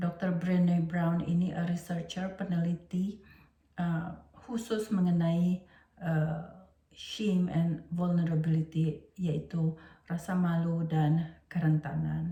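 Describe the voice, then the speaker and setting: A woman speaks very slowly in a somewhat breathy voice with a dark, mellow tone. Her intonation is monotone and flat, her loudness very even. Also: fairly low pitch for a woman. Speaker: teacher and educational trainer. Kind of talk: lecture. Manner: halting, many fillers.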